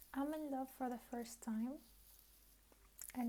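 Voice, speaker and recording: Soft-spoken, a woman talks in a high pitch with a dark, mellow tone and monotone, flat intonation. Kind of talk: casual talk to camera.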